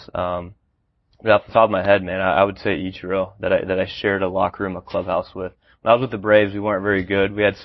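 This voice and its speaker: With an American accent and a fairly low voice, the man speaks very fast. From Texas, Austin area. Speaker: retired professional baseball player. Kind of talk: casual interview. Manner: hesitant, many fillers.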